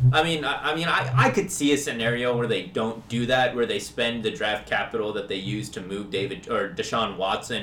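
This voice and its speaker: With audible room echo, a man with an American accent talks in a bright, sharp tone at a medium pitch with ordinary variation, moving at a fairly quick pace with hardly any pauses. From US Midwest, Kansas City. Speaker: fantasy football podcast co-host. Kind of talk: casual chat.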